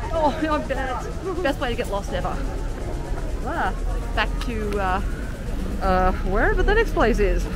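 A woman speaks at a fairly slow pace, her voice dry with no echo. Clear music plays behind her. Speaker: family travel vlogger. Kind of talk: casual vlog chat. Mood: cheerful, upbeat. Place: street. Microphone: phone near.

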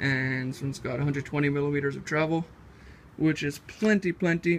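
Over light background noise, a man speaks with fairly even intonation. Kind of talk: casual project walkthrough. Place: garage. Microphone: phone near.

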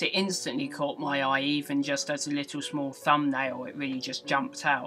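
With faint music in the background, a woman speaks at a moderate pace in a very deep, low pitch. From England. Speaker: gaming news vlogger. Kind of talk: casual gaming news vlog. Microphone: webcam.

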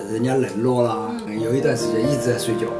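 The speaker is a man. Loud music plays in the background. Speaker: retiree. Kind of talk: interview answer. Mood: reflective, a bit wistful. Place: open country.

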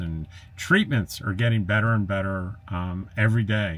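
An unremarkable speaking voice moves at a fairly slow pace. Its intonation stays fairly even. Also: man. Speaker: RV travel vlogger. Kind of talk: casual vlog chat. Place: home room.

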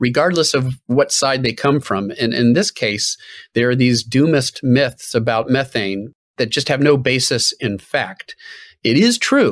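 Over a quiet background, a man speaks at a moderate pace with lively intonation in a dry sound with no echo. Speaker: guest. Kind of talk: interview answer. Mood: earnest, explanatory. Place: home room.

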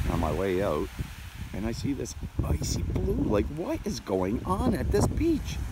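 The sound is dry, with no echo. Loud background noise sits behind the voice. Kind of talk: casual talk to camera while beachcombing. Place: beach. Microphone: phone near.

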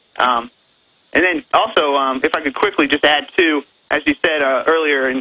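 This man has a normal speaking voice, fairly high in pitch, with fairly even intonation. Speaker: legislative aide. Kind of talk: talk radio interview. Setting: phone call.

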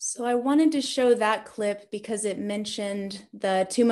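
Against a quiet background, the speech keeps a moderate pace. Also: woman. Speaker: military band musician. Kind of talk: lecture. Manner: enthusiastic. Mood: enthusiastic. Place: home room. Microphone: webcam.

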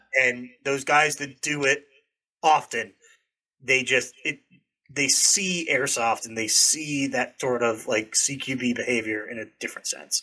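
A man with an American accent, fairly high-pitched and bright and sharp in tone, talking at a fairly slow pace over a quiet background. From New Hampshire, US. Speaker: airsoft content creator. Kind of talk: casual chat. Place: home room. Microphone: studio mic.

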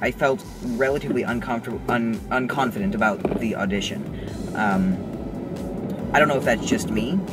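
The voice moves at a moderate pace while music plays in the background. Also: man. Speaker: actor vlogger. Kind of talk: casual vlog chat. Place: car. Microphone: phone near.

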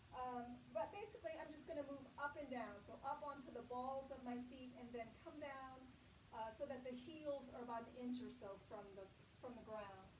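Against noticeable background noise, a woman talks at a moderate pace in a high pitch with ordinary pitch variation. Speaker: chair yoga instructor. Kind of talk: guided yoga class with spoken movement and breath cues. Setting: online video class. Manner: gentle, encouraging, steady pace. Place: home room.

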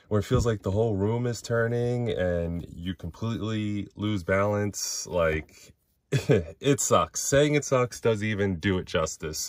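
A man talks at a fairly slow pace and fairly low pitch with ordinary pitch variation and big swings in loudness. The sound is dry with no echo, over a quiet background. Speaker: toy collector channel host. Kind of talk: casual vlog chat. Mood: grateful, candid, personal. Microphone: phone near.

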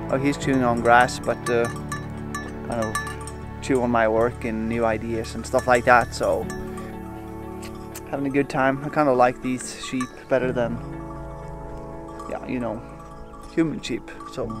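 Over clear music in the background, a man speaks in a monotone, flat way with long, frequent pauses and a dry sound with no echo. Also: moderate pace. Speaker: travel vlogger. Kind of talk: casual vlog chat. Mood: relaxed, playful. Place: open country. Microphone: phone near.

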